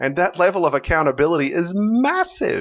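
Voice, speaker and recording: At a moderate pace, a man speaks with very wide swings in pitch. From Australia. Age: 40s. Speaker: software company founder. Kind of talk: podcast interview. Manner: halting, many restarts and fillers.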